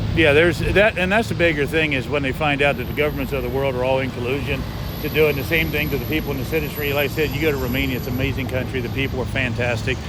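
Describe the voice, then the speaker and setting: Someone talks very fast with hardly any pauses, amid audible room echo and noticeable background noise. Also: man. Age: 60s. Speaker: walking-tour vlogger. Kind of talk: casual street conversation. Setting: outdoors on a city street.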